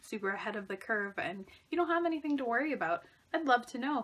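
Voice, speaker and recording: A woman speaks with a fairly high pitch. Her intonation is lively. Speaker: book vlogger. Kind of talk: casual vlog monologue. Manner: fast; animated. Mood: upbeat, motivated. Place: home room. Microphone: phone near.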